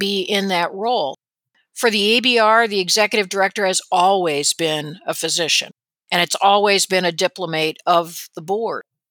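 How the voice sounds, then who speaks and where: Bright, sharp tone from a woman with a US Midwestern accent, medium pitch, moderate pace, dry and close with no echo. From Indiana, US Midwest (South Bend). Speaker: radiologist and medical board executive. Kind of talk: interview.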